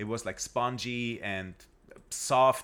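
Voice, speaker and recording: In a very clean recording with a silent background, a man with a German accent speaks very slowly at a medium pitch. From Germany. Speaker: guest. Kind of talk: casual chat. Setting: studio.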